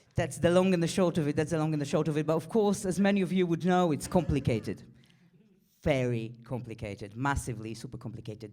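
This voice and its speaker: The speaker talks at a very fast pace. They have an Israeli accent. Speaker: stand-up comedian. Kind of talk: stand-up. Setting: stage with audience.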